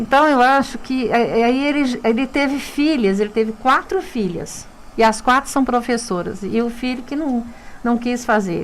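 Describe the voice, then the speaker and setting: Over noticeable background noise, a woman speaks at a fairly high pitch and moderate pace with ordinary pitch variation. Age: 60s. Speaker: dentist and university lecturer. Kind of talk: radio interview. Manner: halting, with frequent repetitions.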